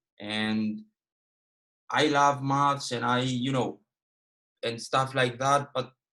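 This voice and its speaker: Speaking at a fairly slow pace, a man with a fairly high pitch and a bright, sharp tone keeps his intonation fairly even. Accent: Cypriot. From Cyprus. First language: Greek. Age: 20s. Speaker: forex trader and educator. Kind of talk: trading webinar. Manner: halting.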